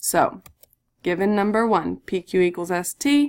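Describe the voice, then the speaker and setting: In an ordinary speaking voice, a woman talks at medium pitch with lively intonation. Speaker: math teacher. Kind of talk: recorded lesson tutorial.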